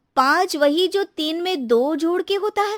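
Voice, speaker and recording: A cartoonish character voice with ordinary pitch variation and a dry, close sound with no echo. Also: woman, extremely high pitch for a woman, moderate pace. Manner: roundabout, chatty.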